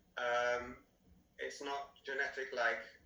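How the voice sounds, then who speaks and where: A man's voice with audible room echo. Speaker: software engineer giving talk about his stutter. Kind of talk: presentation. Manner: halting.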